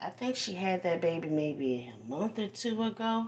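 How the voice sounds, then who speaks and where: A soft-spoken woman talks at a fairly slow pace with a fairly low pitch and very wide pitch swings. Noticeable background noise is present. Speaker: livestream host. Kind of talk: casual livestream chat. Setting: phone livestream while folding laundry. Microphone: phone mic.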